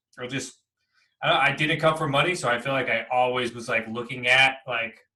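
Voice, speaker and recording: A man with an American accent talks at a fairly quick pace, his tone bright and sharp and his intonation fairly even. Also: medium pitch for a man. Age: 30s. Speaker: real estate investor and coach. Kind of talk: interview. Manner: fast.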